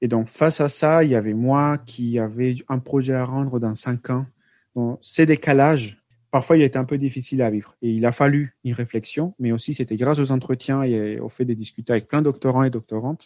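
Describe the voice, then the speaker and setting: Against a quiet background, a man speaks fairly quickly at medium pitch in a dark, mellow tone, the sound dry and close with no echo. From Colombia. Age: 30s. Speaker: PhD student in sociology. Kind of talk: interview. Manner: halting, frequent repetitions.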